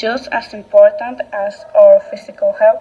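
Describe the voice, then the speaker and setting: A woman with a Dominican accent, fairly slow and fairly even in intonation, over noticeable background noise. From Dominican Republic, Constanza. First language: Spanish. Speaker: English language student. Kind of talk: class presentation monologue. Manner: halting, with fillers and self-corrections.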